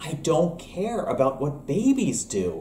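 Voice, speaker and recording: A man's voice has a dark, mellow tone and is somewhat breathy. Audible room echo and light background noise surround it. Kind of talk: comedic sketch dialogue. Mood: playful, grumpy misanthropic humor. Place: kitchen. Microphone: webcam.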